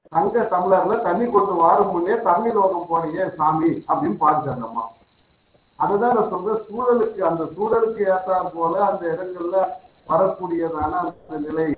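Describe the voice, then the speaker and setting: A man speaks with a high pitch and ordinary pitch variation. Noticeable background noise runs behind him. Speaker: college principal asking questions. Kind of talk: question from audience.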